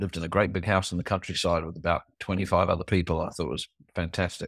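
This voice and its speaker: Very fast and in a New Zealand accent, a man speaks with a very deep, low pitch and monotone, flat intonation, recorded very cleanly with a silent background and a dry, close sound with no echo. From New Zealand (born in England). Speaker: tech and faith entrepreneur, former pastor. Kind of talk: casual interview chat.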